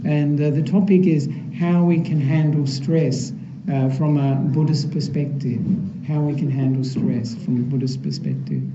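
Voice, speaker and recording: Over noticeable background noise and audible room echo, a man with an Australian accent speaks at a moderate pace, fairly high in pitch and with fairly even intonation. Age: 60s. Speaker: Buddhist monk. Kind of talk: dharma talk. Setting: temple hall with audience. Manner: soft-spoken.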